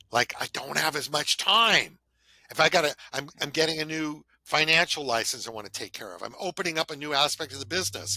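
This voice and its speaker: Fairly high-pitched man with an American accent, a bright, sharp tone and vocal fry, lively intonation, a fairly quick pace and big swings in loudness. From Southern California. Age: 60s. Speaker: podcast host, financial planner. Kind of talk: casual chat.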